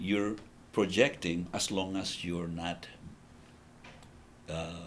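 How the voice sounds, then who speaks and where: Speaking at a very slow pace with a Spanish accent, a man with a very deep, low pitch keeps his intonation fairly even. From El Salvador. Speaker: business founder. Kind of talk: interview. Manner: halting.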